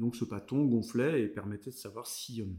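Using ordinary pitch variation, a man speaks with medium pitch at a fairly slow pace. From France, Vendée (Bocage). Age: 30s. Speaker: cultural heritage worker. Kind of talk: casual interview chat. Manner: hesitant, many fillers.

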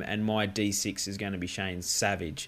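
The voice belongs to a man with an Australian accent. His pace is moderate. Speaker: fantasy football podcast host. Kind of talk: casual chat.

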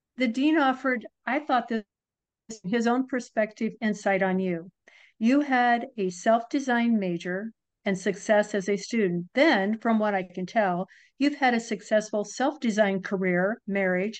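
A woman speaks in a plain, everyday voice at a fairly high pitch and a fairly slow pace. Her pitch varies in an ordinary way, and the background is quiet. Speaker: podcast host. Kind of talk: scripted intro and interview.

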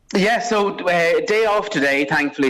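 With an Irish accent, a man speaks in very wide pitch swings. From Drogheda, Ireland. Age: 30s. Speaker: opera singer. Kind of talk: interview. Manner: halting.

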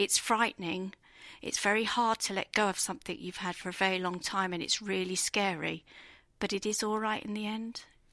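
This woman talks at a fairly quick pace with an English accent, using a bright, sharp tone at a medium pitch and fairly even intonation. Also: very clean recording, silent background. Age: 50s. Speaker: marathon runner, navy veteran. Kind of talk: personal testimony. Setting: expo studio.

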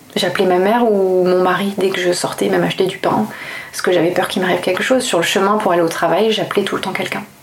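Speaking very fast with fairly even intonation, a woman keeps a medium pitch. Room echo can be heard, along with noticeable background noise. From France, Toulouse. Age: 30s. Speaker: lawyer and comic book author. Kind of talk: testimony. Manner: halting.

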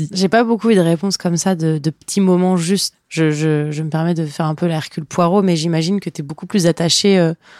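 With a plain, everyday voice, a woman talks at a fairly low pitch and a fairly quick pace with hardly any pauses, her intonation fairly even and the sound dry and close with no echo. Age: 20s. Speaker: podcast host. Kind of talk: scripted narration.

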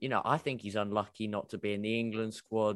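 Talking at a fairly quick speed, a man speaks with a British accent. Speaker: football fan panelist. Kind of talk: casual group chat about football. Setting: video call.

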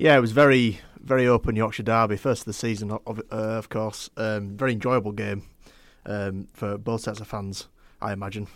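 On a very clean recording with a silent background, a man with a fairly low pitch speaks at a fairly quick pace. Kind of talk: casual chat. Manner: animated, talking over others, halting.

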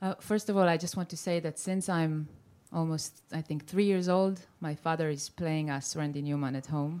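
A woman speaks at a fairly low pitch with a dark, mellow tone and fairly even intonation. The recording is very clean, with a silent background. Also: fairly slow pace. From Israel, Tel Aviv. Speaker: singer-songwriter. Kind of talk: interview. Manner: halting, mixing French and English.

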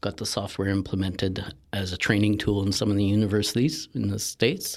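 A man with a plain, everyday voice speaks in a Canadian accent, fairly low in pitch and fairly quick. His intonation stays fairly even on a very clean recording with a silent background. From Northern Ontario, Canada. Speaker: marketing agency partner, former forester. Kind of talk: casual interview.

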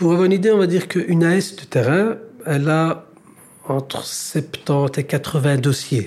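A man with a fairly high pitch talks at a fairly slow pace with ordinary pitch variation. His loudness swings a lot. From Brussels, Belgium. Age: 30s. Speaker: social mediation worker. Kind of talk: interview.

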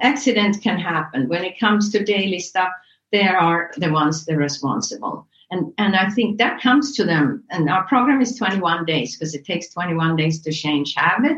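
An unremarkable speaking voice with lively intonation, at a moderate pace. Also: woman. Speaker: wellness center director. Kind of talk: interview.

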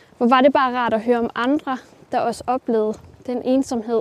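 At a moderate pace, a woman talks in a high voice over noticeable background noise. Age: 20s. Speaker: self-taught ceramicist. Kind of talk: interview while walking. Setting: outdoors, walking.

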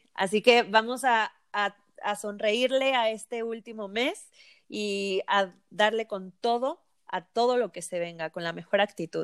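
A woman with a Mexican accent and a fairly high pitch speaks at a fairly slow pace with ordinary pitch variation, recorded very cleanly against a silent background with a dry, close sound and no echo. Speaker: nutritionist podcast co-host. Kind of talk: casual chat.

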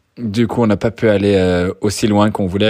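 The man talks at a moderate pace. His intonation is fairly even. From France. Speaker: podcast host, real estate investor. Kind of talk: casual interview. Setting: outdoors in the sun.

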